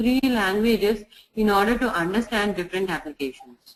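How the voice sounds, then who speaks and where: This is a woman talking. She has a Telugu accent. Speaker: software testing trainer. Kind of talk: tutorial. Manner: halting.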